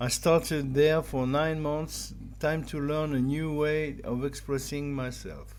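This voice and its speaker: Speaking in a French accent, a man with a fairly high pitch talks at a fairly slow pace with fairly even intonation. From France. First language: German. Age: 50s. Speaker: digital artist. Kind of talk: personal monologue.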